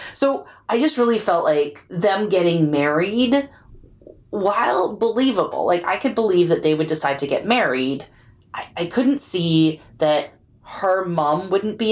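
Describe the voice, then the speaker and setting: In a normal speaking voice, a woman talks at a moderate pace, her fairly low pitch carrying lively intonation. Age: 40s. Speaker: podcast co-host. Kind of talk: casual chat.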